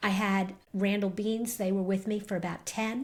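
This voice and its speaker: Medium pitch and a somewhat breathy quality from a woman, delivered at a moderate speed. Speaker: marketing agency owner and podcaster. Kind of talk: interview conversation. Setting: podcast interview.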